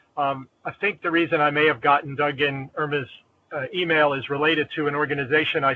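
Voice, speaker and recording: In an East Coast US accent, a man talks at a fairly quick pace with a fairly high pitch and fairly even intonation. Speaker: dean of education. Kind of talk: online meeting introduction.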